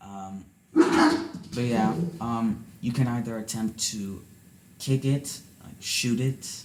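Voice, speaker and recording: A soft-spoken man talks at a very slow pace with ordinary pitch variation. His loudness swings widely. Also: medium pitch for a man. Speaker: podcast co-host, soccer fan son. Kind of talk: casual chat.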